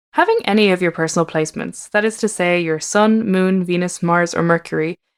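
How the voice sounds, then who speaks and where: A woman with an Irish accent speaks at a fairly quick pace, her fairly low pitch moving with ordinary variation. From Ireland. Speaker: tarot reader and astrologer. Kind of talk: podcast narration.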